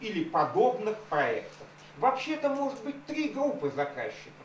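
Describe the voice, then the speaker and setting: Over light background noise and audible room echo, a man's pitch swings very widely. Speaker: activist. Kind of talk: speech at public hearing. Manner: formal. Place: meeting room.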